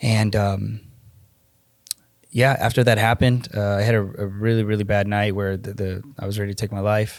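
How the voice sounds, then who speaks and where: With a Spanish accent, a man speaks at a moderate pace in a fairly low, monotone, flat voice. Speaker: electrician and fatherhood coach. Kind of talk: podcast interview, personal testimony.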